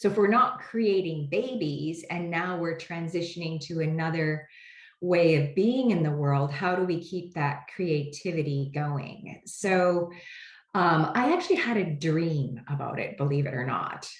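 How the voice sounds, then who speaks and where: With audible room echo, a woman speaks at a fairly slow pace in a somewhat breathy voice of fairly low pitch with ordinary pitch variation. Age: 60s. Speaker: homeopath and product creator. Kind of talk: interview. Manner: hesitant, many fillers.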